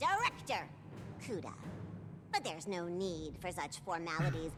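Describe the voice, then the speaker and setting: Someone speaks in a put-on character voice at a moderate pace over clear background noise. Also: woman, fairly low pitch for a woman. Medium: game stream. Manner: curt, commanding, condescending.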